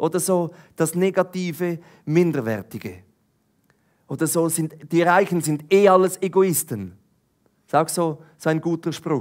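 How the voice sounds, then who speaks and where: In a Swiss accent, a man with a high pitch and ordinary pitch variation speaks at a fairly slow pace with long, frequent pauses against a quiet background. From eastern Switzerland. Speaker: preacher. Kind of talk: sermon. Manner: animated. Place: stage. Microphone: headset.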